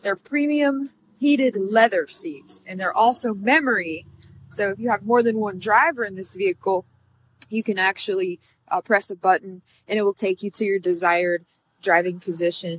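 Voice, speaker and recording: Lively intonation from a woman at a moderate pace, dry sound with no echo and light background noise. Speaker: car salesperson. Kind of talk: product walkaround tour. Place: street. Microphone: phone near.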